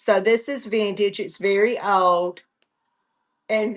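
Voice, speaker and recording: A woman with a Southern US accent, at a very slow pace. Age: 70s. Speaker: online reseller. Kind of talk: live sales stream. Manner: casual, halting.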